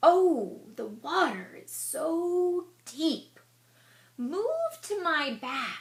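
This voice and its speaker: A woman uses a put-on character voice pitched extremely high and speaks at a very slow pace. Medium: read story. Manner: crooning, sly.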